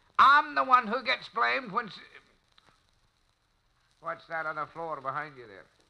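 Using a put-on character voice, a man speaks fairly slowly at a high pitch with a bright, sharp tone, vocal fry and big pitch swings.

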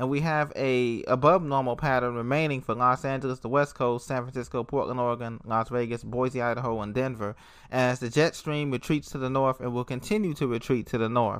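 A man with an unremarkable speaking voice talks at a fairly quick pace with hardly any pauses. His medium pitch holds fairly even intonation. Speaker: weather podcaster. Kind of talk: weather report, forecast read out region by region. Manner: steady, informative, matter-of-fact delivery; some filler words and small stumbles.

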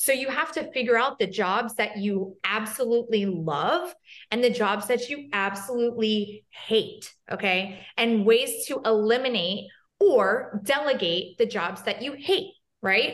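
Using a plain, everyday voice, a woman speaks at a fairly slow pace with a fairly high pitch and lively intonation. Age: 30s. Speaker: hairstylist and social media educator. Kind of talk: casual chat.

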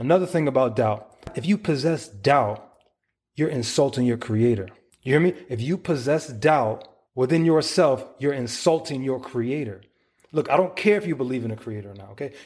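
Over a quiet background, a man in a plain, everyday voice uses a medium pitch, lively intonation and big swings in loudness. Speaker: motivational podcaster. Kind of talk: motivational rant. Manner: intense, loud, fired-up, punchy repeated phrases, profane and confrontational; direct, pushy, rapid-fire, pleading 'you feel me' tone.

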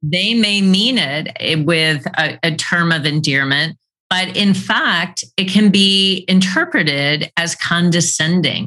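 A woman's fairly low voice in a bright, sharp tone, with very even loudness and a very slow pace. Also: ordinary pitch variation, hardly any pauses. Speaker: podcast host. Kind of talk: podcast interview.

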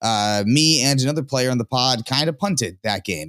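Here is a man with an unremarkable speaking voice at medium pitch. His intonation is lively and his pace moderate. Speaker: card game content creator. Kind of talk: casual chat.

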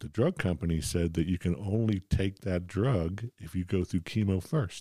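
On a very clean recording with a silent background, a man with an American accent speaks at a very deep, low pitch and a moderate pace, his dark, mellow tone somewhat breathy, with ordinary pitch variation and hardly any pauses. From US Northeast (Philadelphia). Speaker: cancer survivor and amateur joke teller. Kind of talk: casual chat.

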